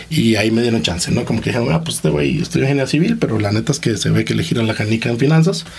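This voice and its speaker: Over noticeable background noise, someone talks at a very fast pace with a slight Costa Rican accent. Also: man. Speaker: entrepreneur, investment fund co-founder. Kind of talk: interview.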